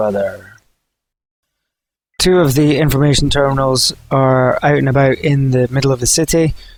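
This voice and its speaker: Talking at a moderate pace, a man uses a medium pitch. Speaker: gaming YouTuber. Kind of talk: gameplay commentary. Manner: monotone; many filler words, hesitant.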